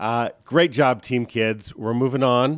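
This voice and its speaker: An ordinary speaking voice with ordinary pitch variation, in a very clean recording with a silent background. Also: man. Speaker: trivia podcast host and parent. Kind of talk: quiz show hosting.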